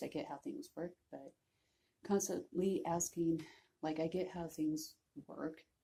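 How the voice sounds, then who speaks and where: Soft-spoken and somewhat breathy, a woman speaks at a fairly slow pace in a fairly low voice. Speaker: vlogger. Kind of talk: personal vlog, mental health story. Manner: hesitant, many fillers.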